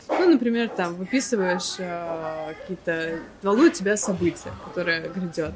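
A woman with a fairly low pitch speaks at a moderate pace with ordinary pitch variation, and noticeable background noise is present. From Russia, St Petersburg. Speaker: psychologist. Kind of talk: casual interview.

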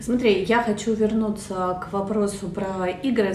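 A woman speaks at a medium pitch with ordinary pitch variation. There is noticeable background noise and audible room echo. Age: 40s. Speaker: guest, avid reader of educational literature. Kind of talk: casual chat.

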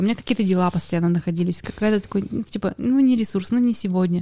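A woman of medium pitch with a dark, mellow tone, a very fast pace, and fairly even intonation, in a dry, close sound with no echo. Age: 30s. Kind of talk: casual chat.

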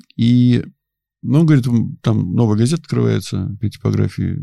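A man at a medium pitch and moderate pace, dark, mellow tone, ordinary pitch variation and long, frequent pauses. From Tver region, Russia. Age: 50s. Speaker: ultramarathon runner. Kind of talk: casual chat. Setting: studio.

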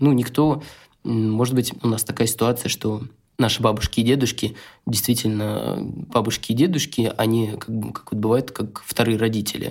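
A plain, everyday voice from a man, at a moderate pace with medium pitch and fairly even intonation. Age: 30s. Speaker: photographer, father of two. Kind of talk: casual chat.

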